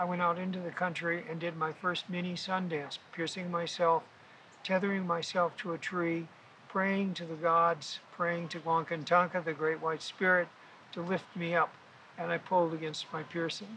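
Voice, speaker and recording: With an American accent, a man speaks at a moderate pace in a high voice. His tone is bright and sharp, his intonation monotone and flat. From US Midwest (South Dakota). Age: 80s+. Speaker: body piercing pioneer. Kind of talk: interview.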